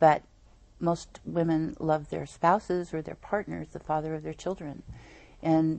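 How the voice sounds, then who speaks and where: In an American accent, a woman speaks fairly slowly with a very deep, low voice. Her intonation is flat and monotone. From Northern California (Eureka). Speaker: nonprofit founder, domestic violence advocate. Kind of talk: interview on a local TV program.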